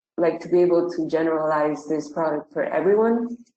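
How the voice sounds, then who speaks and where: A woman with a Spanish accent speaks at a fairly low pitch and a moderate pace. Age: 20s. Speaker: tech startup founder. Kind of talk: online webinar Q&A. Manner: hesitant, many fillers.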